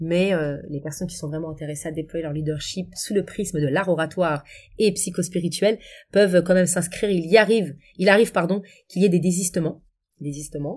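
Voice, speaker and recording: In a very clean recording with a silent background, a woman with a plain, everyday voice talks at a fairly quick pace, her pitch fairly low and her intonation fairly even, with big swings in loudness. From Paris suburbs, France (Essonne). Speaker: coach and public speaking trainer. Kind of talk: interview conversation.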